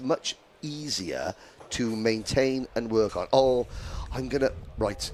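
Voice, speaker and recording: Noticeable background noise fills the clip. Over it, a man talks with lively intonation. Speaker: motorsport commentator. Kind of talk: live commentary. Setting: commentary box. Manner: halting.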